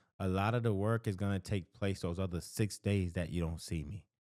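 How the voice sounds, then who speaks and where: On a very clean recording with a silent background, a man with a Haitian accent speaks at a fairly low pitch with ordinary pitch variation, in a dry, close sound with no echo. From Haitian family in the United States. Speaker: counselor. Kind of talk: advice talk to camera. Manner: conversational, with false starts.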